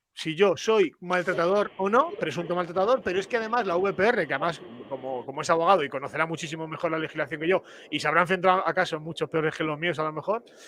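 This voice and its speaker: A high-pitched male voice at a very fast pace, with ordinary pitch variation, over noticeable background noise. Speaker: father's rights activist. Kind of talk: panel discussion. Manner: halting.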